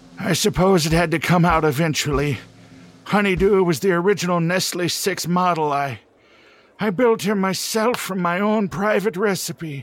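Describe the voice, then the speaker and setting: A man puts on a character voice with a high pitch at a moderate pace. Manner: pleading, regretful.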